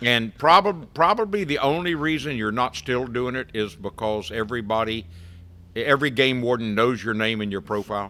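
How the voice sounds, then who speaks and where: Over a silent background in a very clean recording, a man speaks at a medium pitch in a bright, sharp tone with lively intonation. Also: moderate pace. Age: 70s. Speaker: fishing boat captain. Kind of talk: casual chat.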